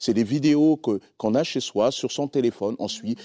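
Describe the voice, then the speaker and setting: In a non-native accent, a man speaks with a dark, mellow tone at a moderate pace and ordinary pitch variation, the sound dry and close with no echo over a quiet background. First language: not French (speaking French). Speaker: pastor. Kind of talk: sermon-style teaching on a TV talk show. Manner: simple plain speech.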